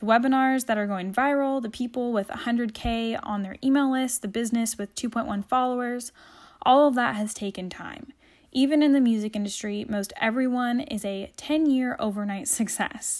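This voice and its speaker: On a very clean recording with a silent background, a woman talks at a moderate pace in a high, upbeat and animated voice with ordinary pitch variation. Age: 20s. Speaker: web designer and podcast host. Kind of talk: solo monologue podcast.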